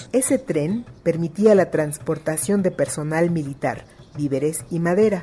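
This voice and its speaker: A woman with a fairly low pitch, somewhat breathy, dark and mellow in tone, with lively intonation. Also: fairly slow pace. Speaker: podcast host. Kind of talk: podcast narration.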